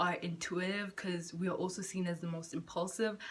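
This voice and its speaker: This woman's voice is somewhat breathy. She speaks at a moderate pace. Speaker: spiritual vlogger. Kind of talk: casual vlog monologue. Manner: halting, stuttering.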